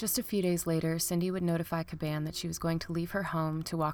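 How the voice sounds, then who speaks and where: Over music in the background, a woman speaks in a flat monotone at a fairly low pitch. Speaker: true crime podcast narrator. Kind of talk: scripted true-crime narration, read aloud with a dramatic story-like tone.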